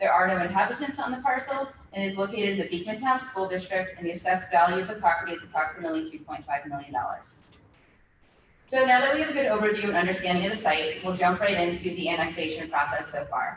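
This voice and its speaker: A woman speaks very fast at a medium pitch, her intonation lively. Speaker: city official presenting at hearing. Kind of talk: formal presentation at public hearing. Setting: public meeting.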